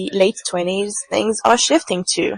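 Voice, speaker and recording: Speaking with a non-native accent, a woman uses a medium pitch and ordinary pitch variation. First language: not English. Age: 20s. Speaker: podcaster, tarot reader. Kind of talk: reflective solo podcast monologue. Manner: halting, repeats words. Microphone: poor audio, bad microphone.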